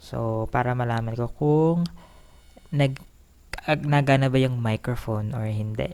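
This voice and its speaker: A woman speaks with a very deep, low pitch. Her pace is moderate and her intonation fairly even. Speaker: vlogger. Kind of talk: casual vlog talk. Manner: speaking louder than usual. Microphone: new cheap lapel mic being tested.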